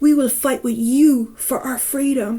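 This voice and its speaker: Using a put-on character voice, a woman talks fairly slowly in a high pitch with flat, monotone intonation. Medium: read story.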